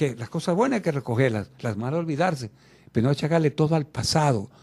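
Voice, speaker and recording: A man's fairly high, somewhat breathy voice with a dark, mellow tone and lively intonation at a fairly quick pace, in a very clean recording with a silent background. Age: 80s+. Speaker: interview guest. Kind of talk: radio interview.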